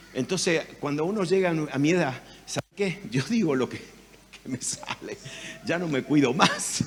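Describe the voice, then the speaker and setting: Over noticeable background noise, the speaker uses an animated tone at a fairly slow pace with ordinary pitch variation. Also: man, high pitch for a man. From Argentina, Rosario. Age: 70s. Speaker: pastor. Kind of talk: sermon.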